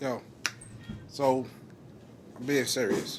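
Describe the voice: A man speaks slowly at a medium pitch, his intonation fairly even.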